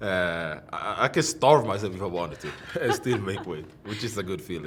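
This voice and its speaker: A man's fairly low voice with a Swedish accent and lively intonation, at a moderate pace, over noticeable background noise. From Sweden. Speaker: professional MMA fighter. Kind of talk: interview. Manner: halting.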